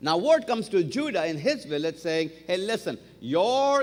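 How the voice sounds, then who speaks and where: In a non-native accent, a man speaks at a fairly slow pace in a high pitch, his tone animated and his pitch swinging very widely. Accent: foreign accent, noticeable. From outside the US, came to America at 20. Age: 50s. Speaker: guest preacher. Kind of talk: sermon. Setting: church service with congregation. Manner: animated storytelling.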